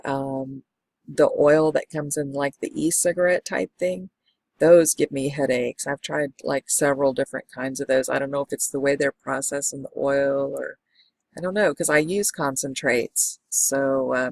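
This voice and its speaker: A woman speaks at a moderate pace in a very deep, low voice with fairly even intonation, the sound dry and close with no echo. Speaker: medical marijuana patient vlogger. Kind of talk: product review vlog. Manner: casual with fillers.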